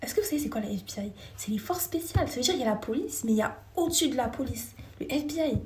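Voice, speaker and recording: Lively in intonation, a woman speaks at a very fast pace. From France. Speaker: live streamer. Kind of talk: casual live chat with viewers.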